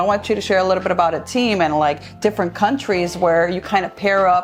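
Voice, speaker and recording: Music plays behind a woman whose intonation stays fairly even. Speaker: real estate show host. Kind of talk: interview question.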